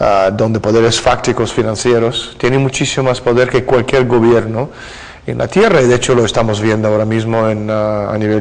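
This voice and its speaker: A man speaks with monotone, flat intonation at a medium pitch. Noticeable background noise runs underneath. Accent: Russian. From Russia. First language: Russian (speaking Spanish). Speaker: author. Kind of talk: interview. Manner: hesitant fillers (eh, ah).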